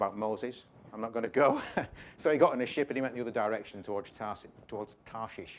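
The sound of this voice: Natural, unstrained reading with typical pitch movement.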